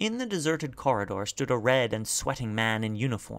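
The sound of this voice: The reading voice is unforced. Its intonation is lively.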